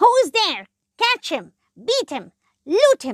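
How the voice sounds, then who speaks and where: A woman shouts in a put-on character voice at an extremely high pitch. She goes at a very slow pace. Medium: read story. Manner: shouting, aggressive.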